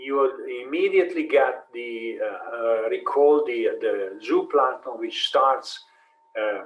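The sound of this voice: Slow speech from a man at a medium pitch. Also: lively intonation.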